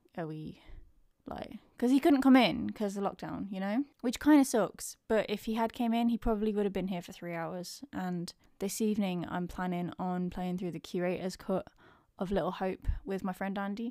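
A woman with an English accent, medium in pitch and dark and mellow in tone, at a moderate pace with ordinary pitch variation and big swings in loudness, on a very clean recording with a silent background. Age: 30s. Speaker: podcaster. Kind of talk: casual vlog monologue. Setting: home.

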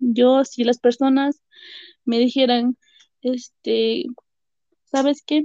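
Very slowly, a woman speaks in a high pitch with a dark, mellow tone, the sound dry and close with no echo. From Peruvian Andes, Carhuaz. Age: 20s. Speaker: education student with microtia. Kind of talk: personal testimony interview.

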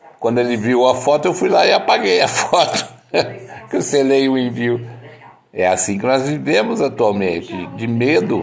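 Over noticeable background noise and audible room echo, a man speaks with a Brazilian accent in an animated tone with lively intonation. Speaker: podcaster. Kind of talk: casual monologue. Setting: at home.

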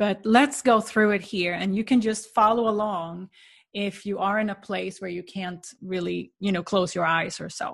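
Over a quiet background, a woman's somewhat breathy voice carries a calm, soothing tone and fairly even intonation. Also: medium pitch for a woman. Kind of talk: guided meditation. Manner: slow, soft, calm and soothing with gentle pauses.

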